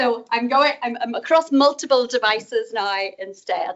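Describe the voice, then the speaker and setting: The speaker uses lively intonation in a Northern Irish accent. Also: woman. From Northern Ireland. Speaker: professor. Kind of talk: conference talk. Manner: fast.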